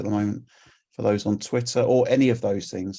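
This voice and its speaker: On a very clean recording with a silent background, a man speaks in a London accent. His fairly low voice has a dark, mellow tone and fairly even intonation. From England, London. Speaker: community volunteer presenter. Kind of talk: conference presentation.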